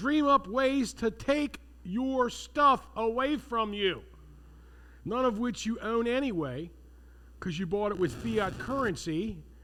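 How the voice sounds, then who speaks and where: Raising and projecting his high-pitched voice, a man speaks at a very slow pace with a bright, sharp tone and lively intonation. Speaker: seminar instructor. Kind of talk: lecture. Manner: animated.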